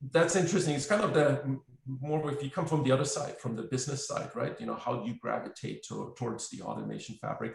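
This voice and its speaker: Speaking very fast with hardly any pauses, a man with a German accent is heard against noticeable background noise. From Germany. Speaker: software company representative, automation expert. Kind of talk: webinar panel discussion. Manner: halting, many fillers.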